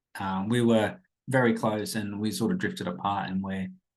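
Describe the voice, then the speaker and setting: With an Australian accent, a man talks at a moderate pace in a fairly low pitch with ordinary pitch variation. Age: 30s. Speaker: podcast host, casual teacher. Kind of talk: casual podcast monologue. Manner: rambling, informal.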